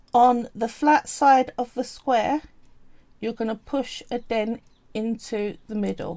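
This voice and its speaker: Her tone dark and mellow, a woman speaks at a very slow pace. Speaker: polymer clay artist streamer. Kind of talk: live-stream craft tutorial. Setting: live stream. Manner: casual, instructive.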